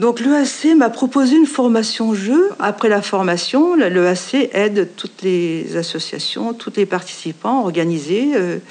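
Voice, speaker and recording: A woman's fairly high voice with very wide pitch swings, a fairly slow pace and hardly any pauses, over noticeable background noise. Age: 60s. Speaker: association volunteer. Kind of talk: testimony.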